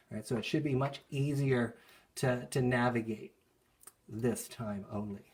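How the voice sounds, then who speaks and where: The voice is somewhat breathy, moving at a fairly slow pace with long, frequent pauses and ordinary pitch variation. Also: man, medium pitch for a man. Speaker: school art teacher. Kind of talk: tutorial. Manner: casual, with fillers.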